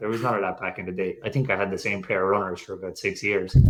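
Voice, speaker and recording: With an Irish accent, a man talks on a very clean recording against a silent background. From Ireland. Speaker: fertility patient sharing his story. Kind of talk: podcast interview. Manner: casual, rambling with fillers.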